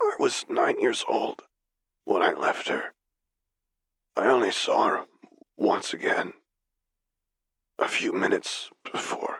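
A man puts on a raspy, wheezy character voice at an extremely high pitch. He speaks at a fairly slow pace with long, frequent pauses. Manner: terse, bitter, grieving.

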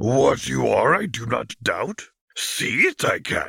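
Using a put-on character voice, a man speaks raspy and croaky at a fairly slow pace. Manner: inverted word order, wise.

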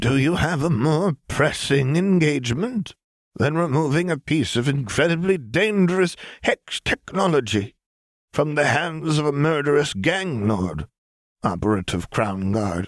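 A shaky, put-on character voice with very wide pitch swings at a moderate pace, in a dry, close sound with no echo. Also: man, fairly high pitch for a man. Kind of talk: formal.

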